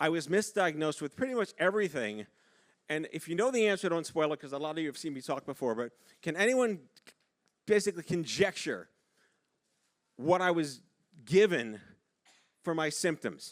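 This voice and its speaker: An animated man with a New York accent, fairly high in pitch, with lively intonation and long, frequent pauses. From New York City. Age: 50s. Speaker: keynote speaker. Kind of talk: keynote speech. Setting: stage with audience. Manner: fast.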